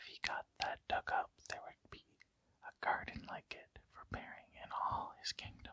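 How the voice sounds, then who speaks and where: The speaker whispers at a fairly slow pace. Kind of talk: ASMR folk tale reading. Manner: whispered.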